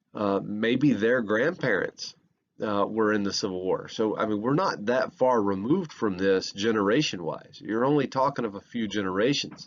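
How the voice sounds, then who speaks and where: A man with a Southern US accent talks at a moderate pace. His pitch is fairly low. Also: ordinary pitch variation. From US South. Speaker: history professor. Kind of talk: lecture. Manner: halting, many fillers.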